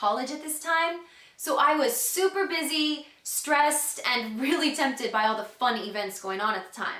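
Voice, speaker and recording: Projecting a raised voice at high pitch, a woman with an American accent speaks at a moderate pace with very wide pitch swings and hardly any pauses, amid audible room echo and noticeable background noise. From Texas, Houston. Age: 20s. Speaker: customer giving a product testimonial. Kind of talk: testimony.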